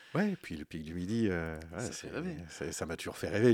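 Dry and close with no echo, a man's moderately paced speech comes through on a very clean recording with a silent background. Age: 50s. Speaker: astrophysics professor and researcher. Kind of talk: radio interview. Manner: halting, with frequent repetitions.

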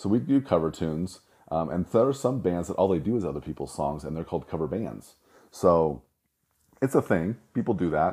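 Very deep and low, a man's voice has a dark, mellow tone, vocal fry and very wide pitch swings at a fairly quick pace. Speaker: chiropractor podcast host. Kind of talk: solo talk about an upcoming seminar. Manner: informal, rambling with filler words.

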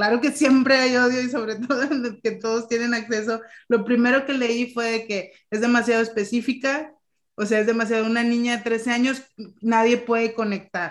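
Her fairly high voice stays monotone and flat as the woman talks at a moderate speed. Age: 30s. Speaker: podcast host. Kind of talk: casual chat.

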